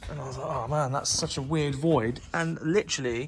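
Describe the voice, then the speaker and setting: A man's voice, fairly high in pitch with ordinary pitch variation, comes through noticeable background noise. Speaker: car restoration youtuber. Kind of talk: vlog tutorial. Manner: fast.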